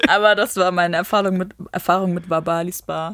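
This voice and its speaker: Noticeable background noise behind a woman's fairly low voice, with ordinary pitch variation at a moderate pace. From Germany, Düsseldorf area, Romanian parents. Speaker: reality TV contestant, office worker. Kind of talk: casual interview chat.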